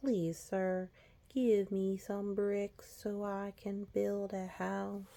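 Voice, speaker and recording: In a put-on character voice, a female-sounding speaker talks at a very slow pace with a middle pitch. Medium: read story. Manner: polite, then defiant.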